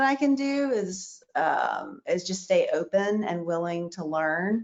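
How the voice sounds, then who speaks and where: A woman's ordinary speaking voice at a medium pitch, with lively intonation. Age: 40s. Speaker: store owner. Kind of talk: panel discussion.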